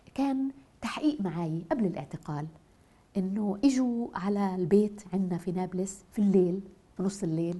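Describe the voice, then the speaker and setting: In a Nablus Palestinian accent, a woman speaks at a fairly slow pace with a somewhat breathy, dark, mellow tone and lively intonation. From Palestine, Nablus; Palestine. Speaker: poet and writer; poet. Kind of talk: interview testimony. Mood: emotional, animated storytelling.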